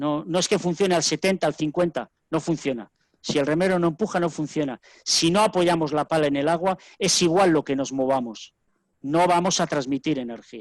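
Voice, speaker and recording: A man with an ordinary speaking voice and a fairly high pitch talks with ordinary pitch variation in a dry, close sound with no echo against a quiet background. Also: moderate pace. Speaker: rowing coach. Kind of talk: lecture. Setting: webinar video call.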